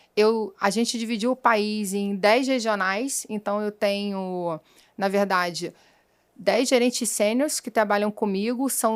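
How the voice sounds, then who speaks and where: In a Rio de Janeiro accent, a woman speaks with fairly high pitch and fairly even intonation, her voice dry and close with no echo on a very clean recording with a silent background. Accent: carioca accent, noticeable. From Rio de Janeiro, Brazil. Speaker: sales executive. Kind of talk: interview.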